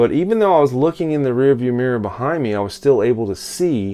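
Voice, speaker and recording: Music plays in the background as a man speaks at a moderate pace with lively intonation. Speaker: self-help vlogger. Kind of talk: casual vlog talk. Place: home room. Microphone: phone near.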